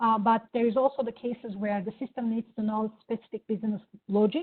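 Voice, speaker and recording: Very fast and with fairly even intonation, a woman speaks at a fairly high pitch in a Turkish accent. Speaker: product executive. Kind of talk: product demo.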